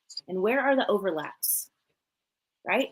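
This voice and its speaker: With a slight Southern US accent, a woman speaks at a moderate pace in an animated tone with lively intonation. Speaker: business coach. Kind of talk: live coaching talk. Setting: live stream.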